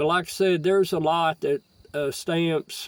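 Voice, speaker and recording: Speaking with a Southern US accent, a man lets his pitch vary in an ordinary way. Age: 60s. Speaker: stamp collector vlogger. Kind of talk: casual monologue. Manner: halting, many fillers.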